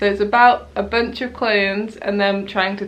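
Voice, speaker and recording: With a British accent, a woman speaks at a moderate pace and medium pitch in a flat monotone. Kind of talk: casual talk to camera. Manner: hesitant, stuttery.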